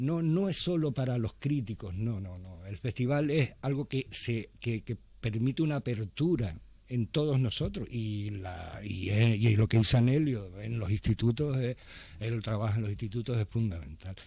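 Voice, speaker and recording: A man with a medium pitch speaks at a moderate pace with lively intonation. His voice is somewhat breathy. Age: 60s. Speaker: writer. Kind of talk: radio interview. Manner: hesitant, many fillers.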